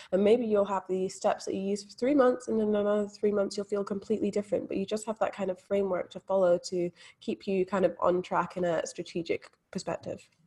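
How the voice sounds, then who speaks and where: The voice has a dark, mellow, somewhat breathy tone. Delivery is very fast, with fairly even intonation. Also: woman, medium pitch for a woman. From Scotland. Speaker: mindset coach. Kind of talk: interview.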